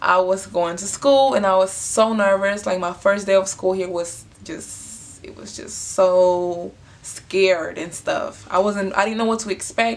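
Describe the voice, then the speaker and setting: Against noticeable background noise, a woman with a Honduran accent speaks at a medium pitch and a fairly slow pace, her intonation fairly even while her loudness swings widely. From Honduras. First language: Spanish. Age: 20s. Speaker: vlogger. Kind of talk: casual storytelling. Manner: casual, filler-heavy.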